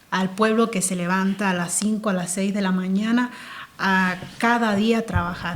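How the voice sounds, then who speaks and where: A woman's medium-pitched voice, monotone and flat, at a moderate pace amid noticeable background noise. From central Cuba (Placetas, Villa Clara). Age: 30s. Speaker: interview guest. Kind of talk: casual interview.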